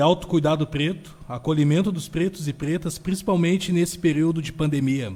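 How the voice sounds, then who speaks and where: With hardly any pauses, a man talks at a moderate pace. His pitch is fairly high and his intonation fairly even. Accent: southern Brazilian. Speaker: radio host. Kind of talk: interview.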